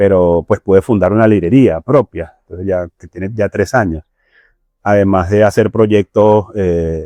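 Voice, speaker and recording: A man in a Venezuelan accent speaks at a fairly slow pace, his pitch fairly low and his intonation fairly even. His tone is dark and mellow, his loudness swings widely, and the sound is dry and close with no echo. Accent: Venezuelan accent, kept. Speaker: bookseller. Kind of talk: podcast interview.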